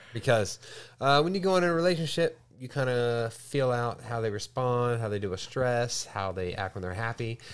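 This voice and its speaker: A man speaks at medium pitch with lively intonation, in a normal speaking voice. The pace is moderate, and the recording is very clean with a silent background. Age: 30s. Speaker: podcast host. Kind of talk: casual chat.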